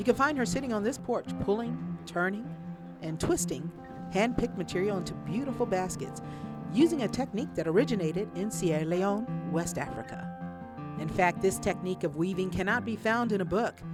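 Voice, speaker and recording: Background music runs under the speech. A woman talks at a moderate pace. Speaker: professor. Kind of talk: documentary narration.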